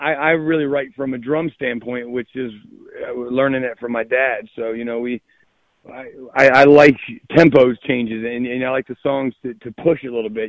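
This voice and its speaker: This man has a normal speaking voice and fairly even intonation. He speaks at a moderate pace. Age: 30s. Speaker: musician. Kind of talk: casual chat.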